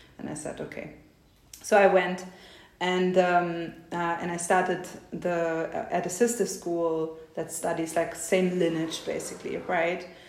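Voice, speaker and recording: A woman with a fairly low pitch talks at a fairly slow pace in a monotone, flat intonation. Her loudness swings widely, and audible room echo is present. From East Germany. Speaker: tantra teacher. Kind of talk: interview.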